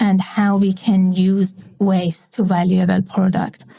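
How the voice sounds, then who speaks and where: A woman with a Persian accent speaks at a fairly slow pace and a medium pitch. Her tone is dark, mellow and somewhat breathy. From Iran. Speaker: industrial chemist. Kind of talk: interview. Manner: halting, many fillers.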